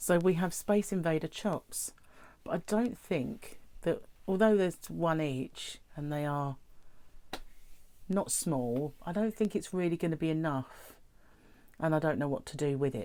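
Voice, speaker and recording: A woman with a British accent, fairly low in pitch and dark, mellow in tone, lively in intonation, at a fairly slow pace with long, frequent pauses. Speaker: weight-loss vlogger. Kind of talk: casual talk to camera.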